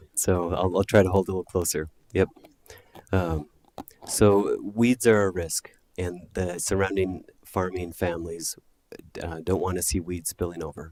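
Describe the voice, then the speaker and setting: A soft-spoken man with a very deep, low pitch, fairly even intonation, a moderate pace and long, frequent pauses, in a dry, close sound with no echo. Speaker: solar project applicant. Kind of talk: public hearing testimony. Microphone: too quiet, far from mic.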